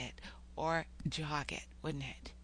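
A woman speaks in a bright, sharp tone. Vocal fry runs through her voice. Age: 60s. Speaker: poet and psychotherapist podcaster. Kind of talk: podcast monologue with poetry reading.

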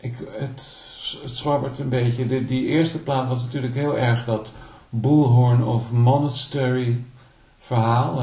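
A man speaks at a fairly slow pace with a medium pitch and fairly even intonation, with audible room echo. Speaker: singer-songwriter and guitarist. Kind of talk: interview. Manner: halting.

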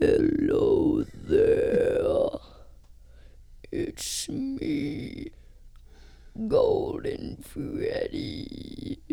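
A man uses a put-on character voice at an extremely high pitch. He speaks at a very slow pace with long, frequent pauses. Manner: creepy.

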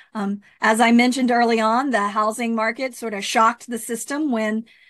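A woman with an American accent speaks at a fairly quick pace, her pitch fairly high with ordinary variation. It is a normal speaking voice, heard over a quiet background. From Texas, Rio Grande Valley. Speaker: mayor and county supervisor candidate. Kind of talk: interview.

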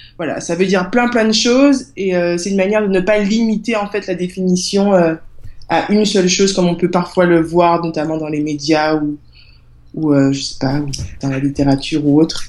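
Speaking at a moderate pace, a woman with a plain, everyday voice keeps a fairly low pitch and ordinary pitch variation. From Guadeloupe. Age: 20s. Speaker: author and project creator. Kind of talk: interview.

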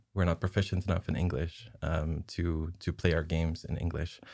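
The background is silent in this very clean recording. A man speaks at a moderate pace. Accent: Dutch. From southern Netherlands. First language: Dutch. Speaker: associate producer. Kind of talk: casual interview chat.

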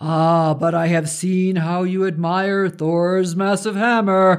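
Put-on character voice from a man, high-pitched and fairly slow, over a quiet background. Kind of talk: archaic formal speech. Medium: read story. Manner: wry, amused, commanding.

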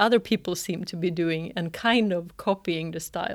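A woman with a Swedish accent and a fairly low pitch is heard on a very clean recording with a silent background. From northern Sweden, Örnsköldsvik. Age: 40s. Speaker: choreographer and dancer. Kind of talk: interview conversation. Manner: hesitant, many fillers.

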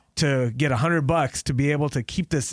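In a very clean recording with a silent background, a man with an American accent and a fairly high pitch for a man has an ordinary speaking voice with ordinary pitch variation. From Los Angeles, Pakistani family. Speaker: radio DJ. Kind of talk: casual interview. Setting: radio studio.

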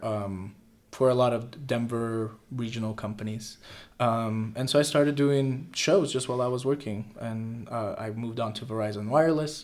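The man's moderately paced speech carries audible room echo. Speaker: musical theater student. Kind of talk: interview. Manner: halting, many fillers.

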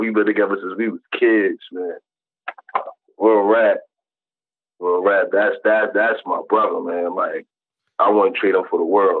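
Long pauses come often in this man's speech. Otherwise he keeps a moderate pace. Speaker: rapper. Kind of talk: casual interview chat.

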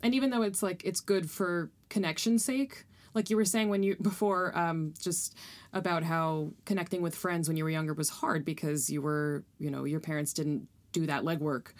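In a very clean recording with a silent background, a woman speaks in a normal speaking voice at a moderate pace, her pitch fairly low with ordinary pitch variation. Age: 30s. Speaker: improv comedian and graphic designer. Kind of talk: casual chat.

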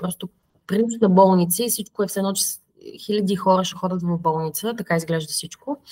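The woman's voice comes across as somewhat breathy. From Bulgaria, Plovdiv. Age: 30s. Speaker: biotech startup founder and scientist. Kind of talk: interview. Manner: halting, many fillers.

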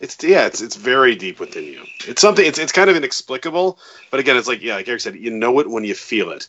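At a very fast pace, a man with a fairly high pitch makes very wide pitch swings and big swings in loudness. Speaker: musician, lyricist. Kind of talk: casual interview chat.

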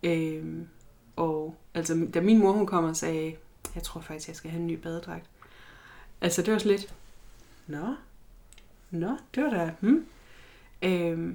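A woman's fairly low voice, very slow, with long, frequent pauses, ordinary pitch variation, a dark, mellow tone and big swings in loudness. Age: 30s. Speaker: body positivity activist and student. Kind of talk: interview. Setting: studio with documentary crew present. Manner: halting, many fillers.

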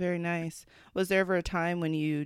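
A woman speaks on a very clean recording, the background silent. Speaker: podcast host. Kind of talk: interview.

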